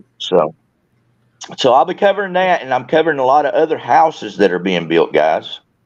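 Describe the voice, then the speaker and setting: The speaker is a man with a Southern US accent. He talks at a fairly quick pace. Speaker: YouTuber and Marine veteran. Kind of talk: casual chat. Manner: halting, repeats words.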